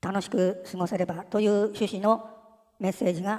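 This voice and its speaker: Her pitch sits at a medium level as this woman talks at a moderate pace. She keeps a monotone, flat intonation. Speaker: channel narrator. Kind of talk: news-style announcement narration.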